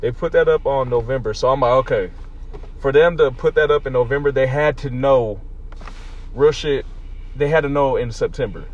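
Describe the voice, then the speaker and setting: Long, frequent pauses break up a man's otherwise fairly quick pace. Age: 20s. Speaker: podcast co-host. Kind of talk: casual chat.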